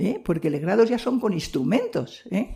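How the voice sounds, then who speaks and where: Her fairly high voice has a dark, mellow tone and some vocal fry. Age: 80s+. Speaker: missionary nun. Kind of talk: testimony. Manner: halting.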